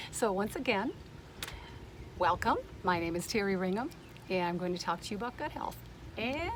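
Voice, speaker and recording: A woman's medium-pitched voice at a fairly quick pace, broken by long, frequent pauses, with noticeable background noise. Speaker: wellness speaker. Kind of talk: presentation. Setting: outdoors on a boat. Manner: fast.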